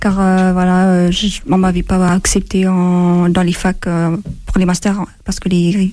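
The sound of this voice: Her dark, mellow voice sits at a fairly low pitch as the woman talks at a moderate pace.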